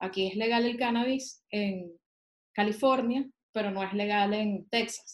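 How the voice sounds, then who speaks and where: In a plain, everyday voice, a woman speaks at a fairly slow pace with a fairly high pitch and fairly even intonation. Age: 30s. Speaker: cannabis specialist and painter. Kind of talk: casual chat.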